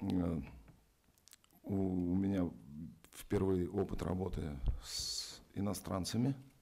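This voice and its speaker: A man with a Russian accent, a very deep, low pitch and a dark, mellow tone, fairly even intonation, a fairly slow pace with long, frequent pauses, and audible room echo. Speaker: actor. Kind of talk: press conference.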